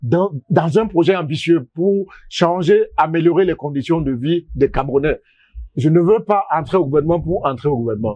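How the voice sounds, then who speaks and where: This man has an ordinary speaking voice. His pitch is fairly high, with ordinary pitch variation. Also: moderate pace. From Cameroon, Douala and Sanaga-Maritime. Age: 60s. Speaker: economist and political candidate. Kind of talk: interview.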